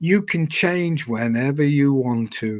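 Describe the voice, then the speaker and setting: The man speaks at a very slow pace. His intonation is lively. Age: 70s. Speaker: retired hotel general manager. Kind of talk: interview. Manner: halting, repeats words.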